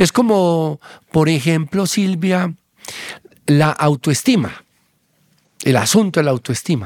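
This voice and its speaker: Speech comes at a very slow pace with long, frequent pauses and very even loudness. The recording is very clean, with a silent background. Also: man, fairly high pitch for a man, lively intonation, dry, close sound with no echo. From Colombia, Antioquia (Abejorral). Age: 50s. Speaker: psychiatrist. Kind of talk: interview conversation.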